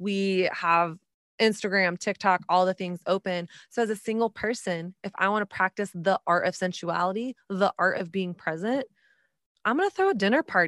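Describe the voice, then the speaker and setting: In an American accent, a woman with an ordinary speaking voice and medium pitch talks at a moderate pace with ordinary pitch variation, recorded very cleanly with a silent background and a dry, close sound with no echo. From Texas. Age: 30s. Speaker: author and podcast host. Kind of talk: interview.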